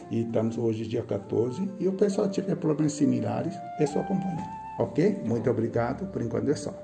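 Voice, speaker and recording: Clear background music plays behind speech delivered at a fairly quick pace. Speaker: acupuncture therapist. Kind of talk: practitioner explaining a treatment session.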